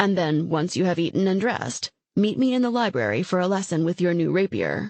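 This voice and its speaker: Using a put-on character voice, a woman speaks at a medium pitch and a fairly quick pace with very even loudness. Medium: read story. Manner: wry, dry teasing.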